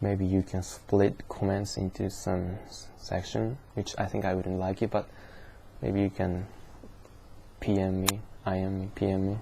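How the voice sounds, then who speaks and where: A somewhat breathy speaker with a Japanese accent talks at a fairly slow pace in a dark, mellow tone, with monotone, flat intonation and long, frequent pauses. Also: man, very deep, low pitch for a man. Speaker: vlogger. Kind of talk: casual vlog monologue. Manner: slow, repetitive; halting.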